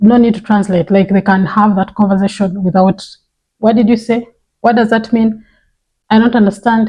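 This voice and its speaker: A woman speaks at a moderate pace with a Ugandan accent, her fairly high voice somewhat breathy and dark, mellow in tone. Her intonation is monotone and flat, and her loudness stays very even. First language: Runyankore Ruchiga. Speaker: parenting vlogger. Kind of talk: vlog monologue.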